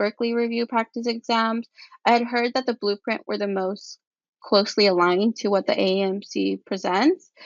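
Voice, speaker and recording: Moderate pacing from a woman, her intonation fairly even. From California central coast. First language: Spanish. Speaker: pre-med student. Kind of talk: podcast interview.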